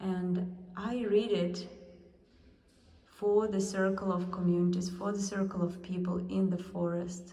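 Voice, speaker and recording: A woman's monotone, flat delivery in a Russian accent at a fairly slow pace, with audible room echo. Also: medium pitch for a woman. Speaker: artist. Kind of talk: guided exhibition tour. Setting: museum gallery.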